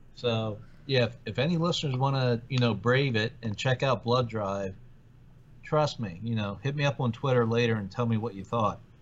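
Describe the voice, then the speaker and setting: A man with a normal speaking voice talks at a moderate pace. He sits at a medium pitch with ordinary pitch variation. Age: 40s. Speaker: podcast co-host. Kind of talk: casual chat.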